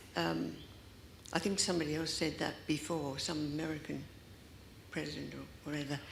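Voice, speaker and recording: Through audible room echo, a woman talks at a fairly quick pace, broken by long, frequent pauses. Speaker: audience member asking a question. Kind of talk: audience question at panel.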